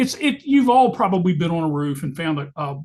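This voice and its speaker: A high-pitched man at a moderate pace against a quiet background. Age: 60s. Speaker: master plumber. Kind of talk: online presentation to home inspectors. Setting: online meeting. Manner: casual, conversational with fillers.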